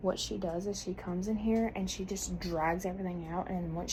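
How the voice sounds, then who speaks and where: A woman with a fairly low pitch talks at a very fast pace with fairly even intonation, and room echo is audible. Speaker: lifestyle vlogger. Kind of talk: casual vlog narration. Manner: soft-spoken.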